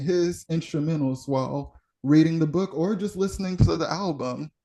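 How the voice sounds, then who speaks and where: A plain, everyday voice: a man at a fairly high pitch, moderate pace, ordinary pitch variation. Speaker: poet. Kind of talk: interview answer.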